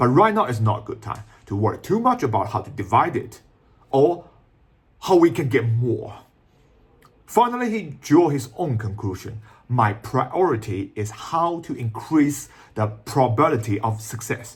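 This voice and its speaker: Speaking at a moderate pace with long, frequent pauses, a man with a Shanghai accent uses lively intonation in a somewhat breathy voice of medium pitch. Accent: Chinese (Shanghai) accent in English. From China, Shanghai. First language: Chinese. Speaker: YouTuber explaining Chinese tech and business. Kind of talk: video commentary. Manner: non-native, somewhat halting English.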